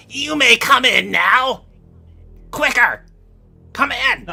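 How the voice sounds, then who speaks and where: Over music in the background, a put-on character voice speaks at a very slow pace in a high pitch. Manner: whiny, imperious.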